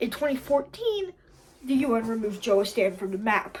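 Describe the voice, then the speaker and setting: The speaker is a woman. She sounds animated. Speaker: comedy video creator. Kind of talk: improvised comedic monologue. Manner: stuttering, halting.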